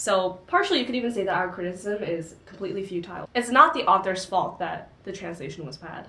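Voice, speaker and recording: A woman in a Korean accent at medium pitch, very fast, with lively intonation, big swings in loudness and noticeable background noise. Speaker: book channel co-host. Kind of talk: casual book discussion.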